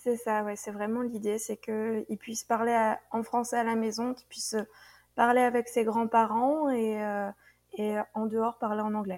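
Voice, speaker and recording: Fairly high in pitch, a woman talks at a fairly slow pace in a monotone, flat intonation. The recording is very clean with a silent background. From France, Burgundy. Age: 30s. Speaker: expatriate. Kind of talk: interview. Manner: halting.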